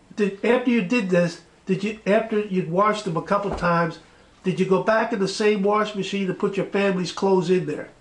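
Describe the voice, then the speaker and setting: A man's high-pitched voice at a fairly quick pace, intonation fairly even, with noticeable background noise. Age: 70s. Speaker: interviewer, retired base worker. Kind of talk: interview.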